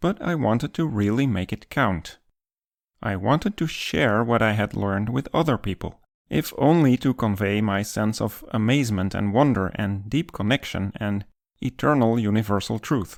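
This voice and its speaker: In a very clean recording with a silent background, a man with a Dutch accent speaks at medium pitch and a moderate pace, with ordinary pitch variation. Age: 50s. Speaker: math educator YouTuber. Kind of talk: scripted narration.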